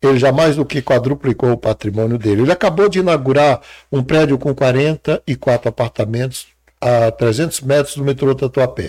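In a dry, close sound with no echo, a man has an unremarkable speaking voice at medium pitch with ordinary pitch variation. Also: moderate pace. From Brazil, Ceará (sertão, Crato). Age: 60s. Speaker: psychologist and mentor. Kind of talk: interview.

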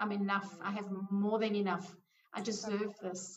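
Somewhat breathy, a woman speaks at a fairly slow pace with medium pitch and monotone, flat intonation. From South Africa. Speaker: money coach. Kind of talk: interview.

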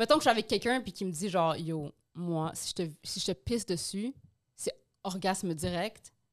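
A woman with an unremarkable speaking voice talks at a moderate pace, her pitch in the medium range. Her intonation is lively, and the recording is very clean with a silent background. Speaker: podcast co-host. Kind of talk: casual chat.

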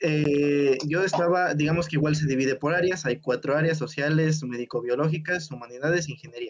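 An ordinary speaking voice, this man's fairly high pitch moves at a fairly quick pace with fairly even intonation and hardly any pauses. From Mexico, Puebla. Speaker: podcast co-host, engineering student. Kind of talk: casual chat.

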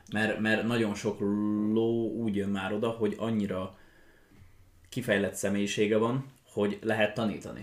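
Using a flat monotone and long, frequent pauses, a man with a fairly low pitch talks at a moderate pace. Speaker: young riding stable owner and equestrian athlete. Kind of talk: casual chat. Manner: halting.

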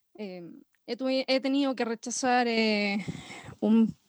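Fairly even intonation in a dry, close sound with no echo. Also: woman. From Chile, Villa Alemana, Valparaíso region. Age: 30s. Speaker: music producer. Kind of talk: interview. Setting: online call.

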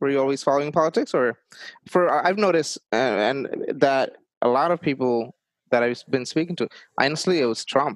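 A man talks at a fairly quick pace with a Bengali accent and ordinary pitch variation. The sound is dry and close, with no echo. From Bangladesh. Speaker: podcast host. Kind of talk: interview.

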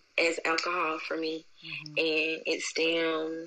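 Over noticeable background noise, a woman speaks at a very slow pace with a fairly low pitch and a monotone, flat intonation. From Albany, Georgia. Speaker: creative writer and military veteran. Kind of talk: casual chat.

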